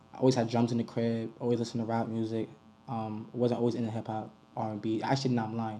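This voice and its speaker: A man's medium-pitched, dark, mellow voice with an American accent, very fast and with monotone, flat intonation. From New York City, the Bronx. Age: 20s. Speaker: rapper. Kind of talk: interview. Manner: casual, slangy.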